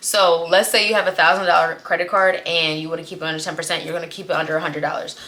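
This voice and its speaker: Noticeable background noise sits under a woman's fairly low voice. She talks at a very fast pace in an animated tone. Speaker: credit and finance educator. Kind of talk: tutorial.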